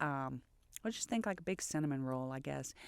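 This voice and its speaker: In a very clean recording with a silent background, a woman with a Louisiana accent talks with ordinary pitch variation. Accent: Cajun Louisiana. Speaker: restaurant owner and chef. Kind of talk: podcast interview answer.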